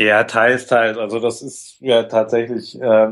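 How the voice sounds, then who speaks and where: The speaker has a normal speaking voice and moves at a fairly slow pace. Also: man. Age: 40s. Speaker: graphic facilitator. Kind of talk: interview.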